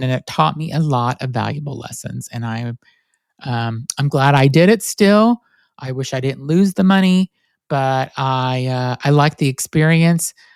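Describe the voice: A man talks at a medium pitch and a moderate pace, with lively intonation, vocal fry and a nasal quality. His tone is clear and smooth, and the sound is dry and close with no echo.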